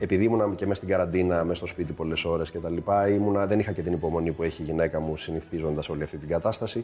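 A man speaks at a very fast pace in a very deep, low voice, his intonation fairly even. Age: 40s. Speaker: actor. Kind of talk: casual chat.

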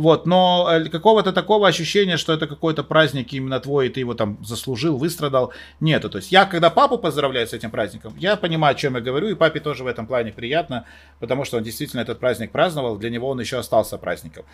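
Lively in intonation and fairly high in pitch, a man talks at a very fast pace. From Moldova. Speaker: event host and TV presenter. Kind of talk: casual chat. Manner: animated.

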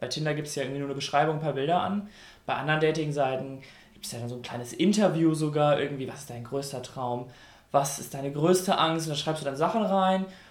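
Talking at a very fast pace with big swings in loudness, a man is heard with audible room echo. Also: fairly high pitch for a man, ordinary pitch variation. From North Rhine-Westphalia, Germany. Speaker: radio host. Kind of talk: casual chat.

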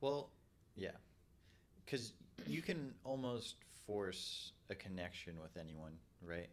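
A man with a very deep, low pitch speaks very slowly, with long, frequent pauses. His pitch swings very widely. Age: 20s. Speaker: podcast co-host. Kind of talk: casual chat.

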